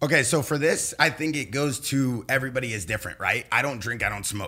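Speaking at a fairly quick pace with a Californian accent, an animated man of medium pitch and ordinary pitch variation is heard in a very clean recording with a silent background. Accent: Californian American English. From Los Angeles, California. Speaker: pro paintballer and entrepreneur. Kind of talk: casual chat.

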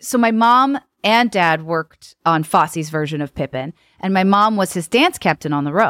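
A woman with an ordinary speaking voice and a fairly low pitch talks at a moderate pace with lively intonation, in a dry, close sound with no echo on a very clean recording with a silent background. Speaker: comedic performer and singer. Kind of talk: casual chat. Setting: studio.

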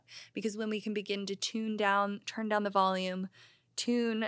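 A woman at medium pitch and moderate pace, flat and monotone, in a very clean recording with a silent background. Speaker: podcast host. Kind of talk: casual chat.

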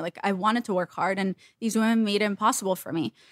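In a very clean recording with a silent background, a woman speaks at a very fast pace with fairly even intonation. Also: dry, close sound with no echo. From Russia and Israel, then Los Angeles from 14. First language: Russian. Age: 30s. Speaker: meme page creator. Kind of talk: casual chat.

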